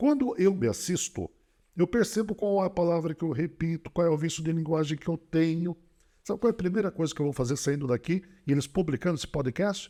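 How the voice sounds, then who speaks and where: The recording is dry and close with no echo as a man with a high pitch and a dark, mellow tone speaks at a fairly quick pace with ordinary pitch variation. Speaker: public speaking coach and speaker. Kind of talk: podcast interview, instructive talk. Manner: varied volume, intensity and speed; animated, rhetorical.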